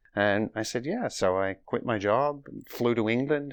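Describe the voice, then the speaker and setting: Over a quiet background, a man talks at a fairly slow pace with a fairly low pitch. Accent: Australian. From Australia, Melbourne. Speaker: cancer survivor sharing faith story. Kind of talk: interview.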